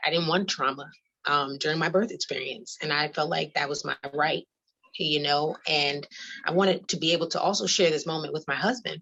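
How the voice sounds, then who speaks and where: Here is a woman with a New York accent and a very deep, low pitch. She talks at a fairly quick pace with ordinary pitch variation. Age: 30s. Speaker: mother sharing birth story. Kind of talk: testimony. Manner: fast; hesitant with fillers.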